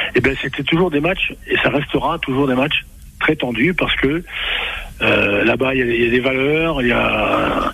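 Noticeable background noise is present. The talking goes at a fairly slow pace. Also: man. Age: 70s. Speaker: former rugby coach. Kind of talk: radio sports talk. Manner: halting, repetitive.

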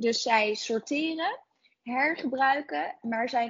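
Her intonation lively, a woman with a fairly high pitch talks in an ordinary speaking voice. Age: 20s. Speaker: entrepreneur, founder of a clothing recycling service. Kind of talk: interview.

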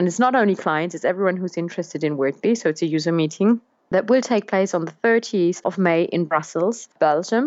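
A woman speaks with a German accent at a moderate pace. Her pitch varies in an ordinary way. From Germany. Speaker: business development manager. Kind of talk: interview.

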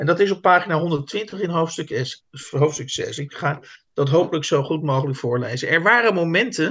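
Bright, sharp tone from a man, fairly high in pitch, with ordinary pitch variation, a moderate pace and a quiet background. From South Holland, Netherlands. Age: 50s. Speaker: literary podcast host. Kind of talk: casual chat. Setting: video call.

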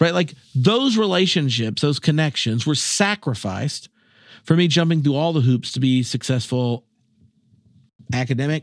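A man with an American accent and an unremarkable speaking voice, fairly high-pitched, lively intonation, moderate pace, very clean recording over a silent background. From North Carolina, US South. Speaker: theology professor and former minister. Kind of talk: casual chat.

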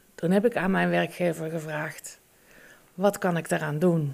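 The voice carries vocal fry and ordinary pitch variation. Its pace is fairly slow. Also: woman. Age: 50s. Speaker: agricultural and environmental inspector, mother. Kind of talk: interview. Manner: hesitant.

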